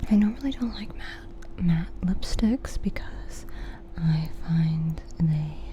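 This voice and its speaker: Whispering and soft-spoken, a woman talks at a very slow pace with big swings in loudness. Noticeable background noise runs underneath. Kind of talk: ASMR rambling video. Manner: soft-spoken, whispered; casual, chatty.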